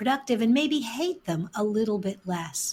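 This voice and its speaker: Talking at a fairly slow pace, a woman has an ordinary speaking voice with a fairly high pitch. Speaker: podcast host. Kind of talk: podcast interview host.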